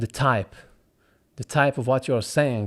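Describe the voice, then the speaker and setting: The very clean recording, with a silent background, captures a man speaking with an Arabic accent. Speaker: voice actor. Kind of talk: casual tutorial. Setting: home recording at night.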